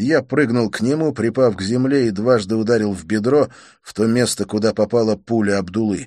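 Here is a natural reading voice. The pitch moves up and down an ordinary amount.

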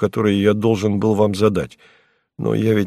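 With little sound in the background, a voice reads aloud naturally.

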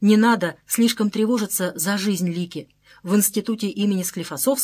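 The voice does plain reading aloud. It is plain reading aloud throughout.

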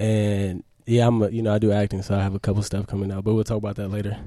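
A man speaks fast in a fairly low voice with a dark, mellow tone and little pitch movement.

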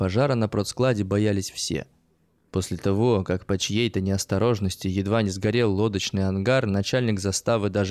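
This is a natural reading voice. It is heard throughout the clip.

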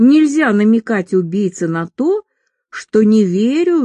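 The reading voice sounds natural. Little else can be heard behind it.

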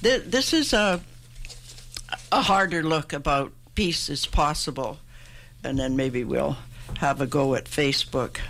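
A woman with a Canadian accent talks at a fairly slow pace, with long, frequent pauses. Noticeable background noise is present. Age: 80s+. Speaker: poet. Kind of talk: interview with poetry readings. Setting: radio studio.

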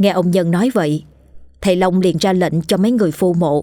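The clip has a natural reading voice.

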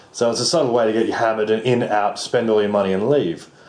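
Medium in pitch, a man speaks at a fairly quick pace. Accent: Australian. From Australia. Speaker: writer and actor, backpacker. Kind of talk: casual chat.

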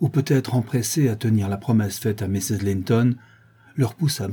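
The speaker reads in an unforced reading voice with ordinary pitch variation.

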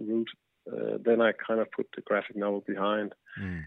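The speaker has a Danish accent and a fairly quick pace. Pitch variation is ordinary. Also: man. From Denmark. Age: 40s. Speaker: film director. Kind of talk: interview. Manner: halting.

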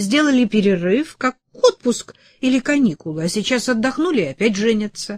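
Lively intonation colors an unforced reading voice.

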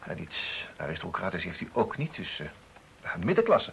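A man's put-on character voice, low-pitched with vocal fry, very wide pitch swings and a moderate pace

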